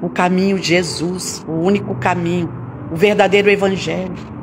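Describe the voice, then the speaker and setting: A woman speaks with fairly even intonation. Noticeable background noise and audible room echo surround her voice. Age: 60s. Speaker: pastor. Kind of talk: sermon.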